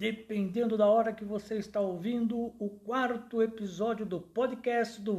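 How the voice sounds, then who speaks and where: A man's dark, mellow tone unfolds at a fairly slow speed. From Brazil, São Paulo. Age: 60s. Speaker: podcast host and amateur songwriter. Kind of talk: personal storytelling monologue.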